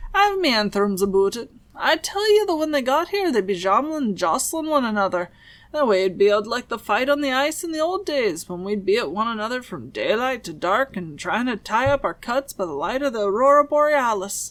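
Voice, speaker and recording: Cackling in a put-on character voice, a woman speaks at a fairly high pitch and a fairly quick pace with very wide pitch swings. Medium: read story. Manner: scornful, cackling, folksy.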